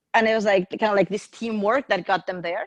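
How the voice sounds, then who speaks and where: The speech comes at a fairly quick pace, with a quiet background and a dry, close sound without echo. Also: woman. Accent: Spanish. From Mexico. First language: Spanish. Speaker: podcast guest. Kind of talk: casual chat.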